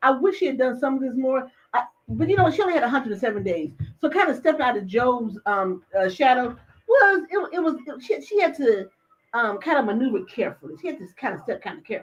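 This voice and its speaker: Delivered at a very fast pace, the voice is animated and swings very widely in pitch. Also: woman, high pitch for a woman. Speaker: livestream talk show host. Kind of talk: casual chat.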